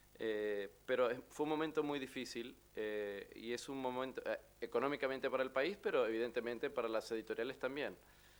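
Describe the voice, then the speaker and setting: An Argentine accent with ordinary pitch variation. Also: man, medium pitch for a man, moderate pace. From Argentina. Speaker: novelist. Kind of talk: book presentation talk. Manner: halting, many fillers.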